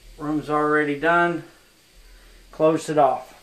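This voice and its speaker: This man speaks at a very slow pace. There is audible room echo. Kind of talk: casual vlog chat. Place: bathroom. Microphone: phone near.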